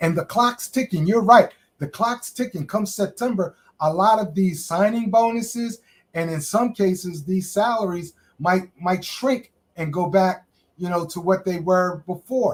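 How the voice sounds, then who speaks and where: A man speaks at a fairly slow pace with a high voice. His pitch varies in an ordinary way. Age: 60s. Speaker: workforce development advisor. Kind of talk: interview.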